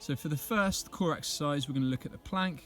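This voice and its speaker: Background music behind a man's voice, a medium tempo and typical pitch movement. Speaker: PE teacher. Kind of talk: exercise tutorial narration.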